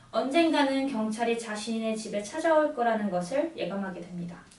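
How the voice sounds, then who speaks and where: A normal speaking voice comes through with lively intonation. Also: woman. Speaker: radio announcer and book presenter. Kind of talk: radio book introduction, story summary narration.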